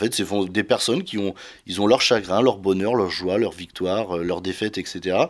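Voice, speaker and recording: In a very clean recording with a silent background, a man with a fairly low pitch talks at a moderate pace. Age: 30s. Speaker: wealth management advisor. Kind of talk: interview. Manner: hesitant.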